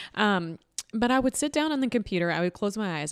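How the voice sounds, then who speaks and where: In a dry, close sound with no echo, a woman speaks at a very fast pace. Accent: Southern. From Louisville, Kentucky. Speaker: author and marketing business owner. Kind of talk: casual interview.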